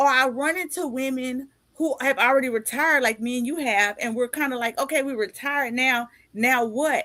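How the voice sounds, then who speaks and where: A woman speaks in a raised, projected voice with a high pitch and a bright, sharp tone. Her delivery is animated and fairly quick. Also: ordinary pitch variation. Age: 50s. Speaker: podcast host and author. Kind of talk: casual interview chat.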